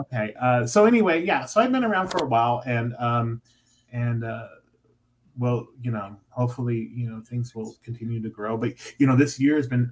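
A somewhat breathy male voice at medium pitch, with ordinary pitch variation and a moderate pace. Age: 50s. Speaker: pride festival organizer. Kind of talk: casual chat. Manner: halting.

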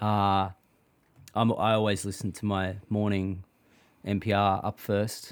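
In a very clean recording with a silent background, a man with an Australian accent speaks at a fairly low pitch and a fairly slow pace, monotone and flat, with long, frequent pauses. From Australia, Melbourne (Thornbury). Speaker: singer-songwriter. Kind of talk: casual chat. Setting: outdoors, backyard hut.

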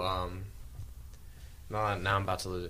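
A man's bright, sharp tone with fairly even intonation. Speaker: podcast host. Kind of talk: casual Bible study discussion.

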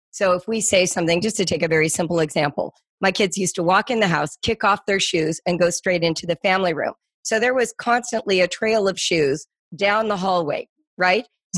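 On a very clean recording with a silent background and a dry, close sound with no echo, a woman with an American accent speaks in a plain, everyday voice at a medium pitch and fairly quick pace, with ordinary pitch variation. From US West Coast, Los Angeles. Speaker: homeschooling educator. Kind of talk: interview.

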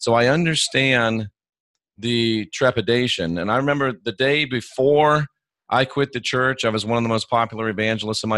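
A man talks at a fairly quick pace in an ordinary speaking voice with fairly even intonation. The sound is dry and close, with no echo. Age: 50s. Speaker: Bible scholar and former evangelist. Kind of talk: casual interview conversation.

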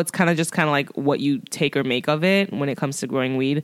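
Animated in tone, a woman speaks at a very deep, low pitch on a very clean recording with a silent background. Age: 30s. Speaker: podcast host and pole dancer. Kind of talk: casual solo monologue.

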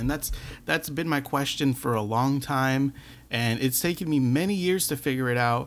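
Here a man speaks at a moderate pace with very even loudness and ordinary pitch variation. He has an unremarkable speaking voice. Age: 20s. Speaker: podcast host. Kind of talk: motivational monologue.

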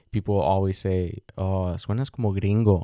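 In a dry, close sound with no echo, a man with an American accent speaks at a very deep, low pitch in a dark, mellow tone with fairly even intonation. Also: very clean recording, silent background. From Mexico, raised in the US. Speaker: podcast host. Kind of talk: solo monologue podcast. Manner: hesitant, many fillers and restarts.

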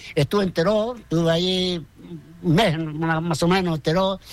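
Pitched high, a man speaks with the usual amount of pitch movement. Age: 80s+. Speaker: retired barber. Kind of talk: interview. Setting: at home.

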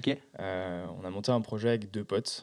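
A man's fairly low pitch in a monotone, flat intonation, on a very clean recording with a silent background. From France, countryside near Besançon. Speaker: startup co-founder. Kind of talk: interview. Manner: hesitant, many fillers.

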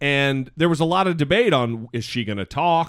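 A man with an American accent and a plain, everyday voice speaks at a moderate pace, his fairly high pitch showing ordinary variation. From US, northern Idaho. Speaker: podcast host. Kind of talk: casual chat.

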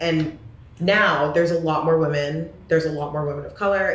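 A woman with an American accent, fairly low in pitch and fairly quick in pace, amid audible room echo and noticeable background noise. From US Pacific Northwest (Corvallis, Oregon). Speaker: photographer and influencer. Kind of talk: casual interview. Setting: studio couch.

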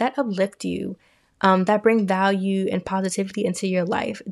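At a moderate pace, a woman speaks in a normal speaking voice at a medium pitch, on a very clean recording with a silent background. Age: 20s. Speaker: podcast host. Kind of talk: casual monologue.

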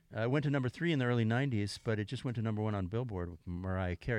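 Very fast, playful delivery with lively intonation over a quiet background. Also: man. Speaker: session guitarist. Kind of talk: casual interview chat. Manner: joking, playful.

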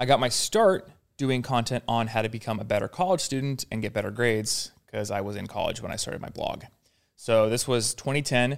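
A man of medium pitch speaks in a plain, everyday voice with ordinary pitch variation. The recording is very clean, the background silent. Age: 30s. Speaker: productivity YouTuber. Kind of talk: casual chat. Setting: studio.

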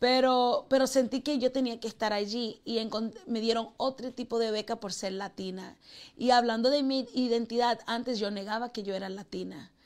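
A woman speaks in an ordinary speaking voice, fairly high in pitch with fairly even intonation, at a moderate pace, on a very clean recording with a silent background. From Queens, New York. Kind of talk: interview. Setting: studio.

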